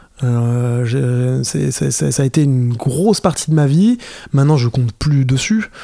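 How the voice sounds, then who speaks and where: Lively intonation marks a man's medium-pitched speech. He talks at a fairly slow pace. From France, Fontainebleau. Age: 30s. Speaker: skateboarder and filmmaker. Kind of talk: casual chat. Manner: halting, many repetitions.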